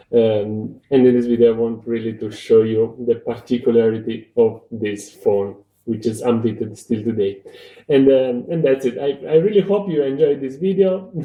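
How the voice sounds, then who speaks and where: A man's medium-pitched voice in a Romanian accent, with ordinary pitch variation at a moderate pace. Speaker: tech video reviewer. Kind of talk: casual video review. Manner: halting. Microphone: recorded on an old phone.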